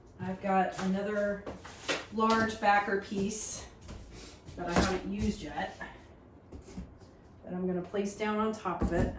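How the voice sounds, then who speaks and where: Delivery is monotone and flat at a fairly slow pace, with long, frequent pauses. Noticeable background noise runs underneath. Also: woman, medium pitch for a woman. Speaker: laser cutting crafter. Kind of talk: tutorial talk to camera. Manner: casual.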